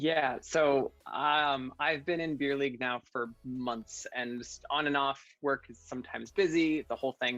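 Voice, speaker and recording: Music plays in the background. The speech moves at a fairly slow pace with hardly any pauses. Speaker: VR sports league player and panelist. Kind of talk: panel discussion. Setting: video call.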